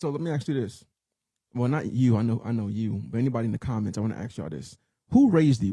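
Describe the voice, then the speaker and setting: A man talks at a very fast pace with lively intonation. His tone is dark and mellow and somewhat breathy. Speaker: podcast co-host. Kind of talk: casual chat.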